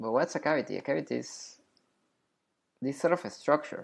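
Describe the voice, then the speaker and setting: A man with a non-native accent at a moderate pace, on a very clean recording with a silent background. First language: not English. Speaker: science educator. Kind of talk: tutorial. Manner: hesitant, many fillers; casual.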